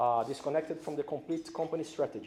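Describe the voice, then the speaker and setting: Speaking in a Brazilian accent, a man has a dark, mellow tone, fairly high pitch and ordinary pitch variation. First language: Portuguese. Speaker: corporate safety executive. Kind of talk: conference speech. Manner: hesitant with fillers.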